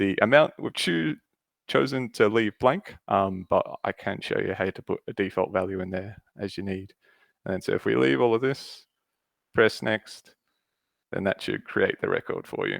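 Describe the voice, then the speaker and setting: In a very clean recording with a silent background, a man with an Australian accent speaks with a dry, close sound with no echo. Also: moderate pace. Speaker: Salesforce consultant. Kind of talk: screen-share tutorial.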